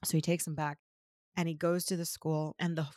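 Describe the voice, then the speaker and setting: On a very clean recording with a silent background, the speaker goes at a fairly quick pace with an American accent. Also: woman. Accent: American accent, mistaken for British abroad. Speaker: podcast co-host. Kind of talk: casual chat; reading aloud.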